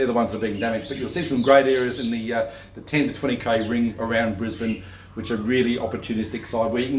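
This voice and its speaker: A man with an Australian accent talks very fast at a medium pitch. The room echo is audible and there is noticeable background noise. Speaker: property investment adviser. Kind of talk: video talk to camera. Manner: halting, many fillers and restarts.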